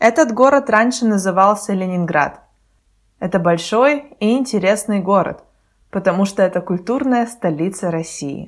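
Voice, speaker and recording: A woman speaks in an ordinary speaking voice at a medium pitch, with lively intonation. The recording is very clean, with a silent background. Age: 20s. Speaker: Russian language podcast host for learners. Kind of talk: scripted narration. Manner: slow, clear.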